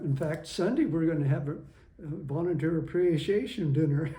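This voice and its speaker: There is audible room echo and noticeable background noise. A man talks at a fairly high pitch with fairly even intonation. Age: 80s+. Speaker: retired schoolteacher, community volunteer. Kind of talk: oral history interview. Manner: halting, with restarts.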